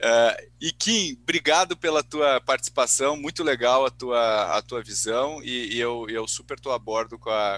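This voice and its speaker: Speaking fairly slowly with ordinary pitch variation, a man has a bright, sharp tone, recorded dry and close with no echo. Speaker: podcast host. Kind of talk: casual chat.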